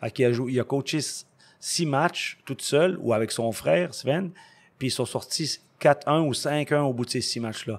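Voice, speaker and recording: The recording is very clean, with a silent background. A man with an unremarkable speaking voice talks at a fairly slow pace with ordinary pitch variation. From Quebec. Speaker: ice hockey coach. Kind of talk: interview. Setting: ice rink.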